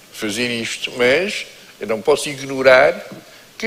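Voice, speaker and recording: Noticeable background noise sits behind a man who speaks at a fairly slow pace. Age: 70s. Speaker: writer and lawyer. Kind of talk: panel discussion.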